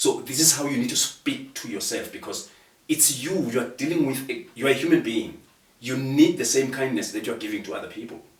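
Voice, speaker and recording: A man talks at a fairly quick pace in a passionate tone, his loudness swinging widely. Room echo is audible and background noise is noticeable. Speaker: guest speaker on procrastination. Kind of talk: conversational interview.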